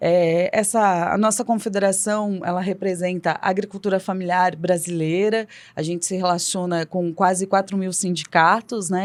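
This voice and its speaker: A woman with an ordinary speaking voice and a medium pitch speaks at a moderate pace with fairly even intonation, in a very clean recording with a silent background. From Brazil, Paraná. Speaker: farmworkers' union environmental officer. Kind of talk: podcast interview. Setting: studio.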